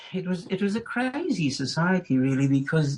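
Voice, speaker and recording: A man talks with a South African accent, somewhat breathy. He goes at a fairly slow pace. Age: 70s. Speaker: retired school principal. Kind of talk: interview. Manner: halting.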